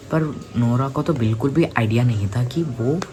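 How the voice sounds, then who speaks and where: A man talks at a moderate pace over background music. The room echo is audible. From India, Hyderabad. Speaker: youtube storyteller. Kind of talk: casual storytelling. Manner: halting, with repetitions and fillers.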